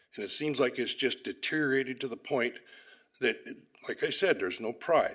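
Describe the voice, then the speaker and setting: A man with a Pacific Northwest accent at medium pitch and moderate pace, ordinary pitch variation, long, frequent pauses, on a very clean recording with a silent background. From US Pacific Northwest, Olympia, Washington. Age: 60s. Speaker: public commenter. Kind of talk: public comment at a council meeting. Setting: council chamber podium.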